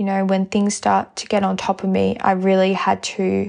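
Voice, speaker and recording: In a quiet background, a woman speaks at a medium pitch with monotone, flat intonation. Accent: Australian. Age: 20s. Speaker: podcast host. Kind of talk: casual monologue.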